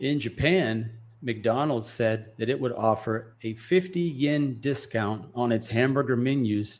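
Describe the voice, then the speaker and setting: A man with an American accent talks at a fairly slow pace and a medium pitch, in an unremarkable speaking voice. His pitch variation is ordinary. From United States. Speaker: English teacher. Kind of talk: news article read aloud.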